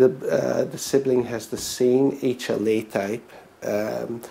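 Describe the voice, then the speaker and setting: A very slow pace with fairly even intonation. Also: man. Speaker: physician. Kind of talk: lecture. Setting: presentation to an audience. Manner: halting, many fillers.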